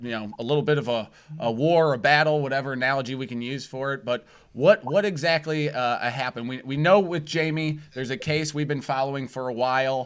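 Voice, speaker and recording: A man's pitch shifts in an ordinary way on a very clean recording with a silent background. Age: 30s. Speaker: internet show host. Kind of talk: casual interview. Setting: live internet show. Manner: animated.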